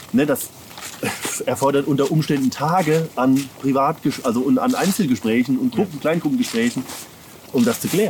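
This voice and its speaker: A man speaks at a fairly quick pace in a fairly high pitch, his pitch swinging very widely, with long, frequent pauses and noticeable background noise. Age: 30s. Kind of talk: interview.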